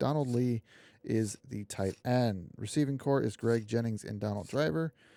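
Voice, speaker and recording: Quiet and dark, mellow in tone, a man with an American accent speaks at a medium pitch with ordinary variation, in a very clean recording with a silent background and a dry, close sound with no echo. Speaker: gaming streamer. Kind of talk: gameplay commentary. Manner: quiet, low energy; hesitant, many fillers.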